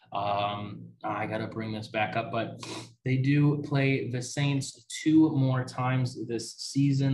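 Very slow and with an American accent, the speech shows ordinary pitch variation and audible room echo. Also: man. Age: 20s. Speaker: sports podcast host. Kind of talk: solo sports talk podcast. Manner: casual, many filler words (um, uh).

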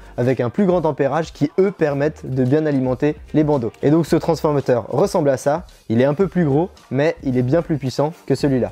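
At a moderate pace, a man's dark, mellow tone holds very even loudness with ordinary pitch variation. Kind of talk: tutorial. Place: workshop.

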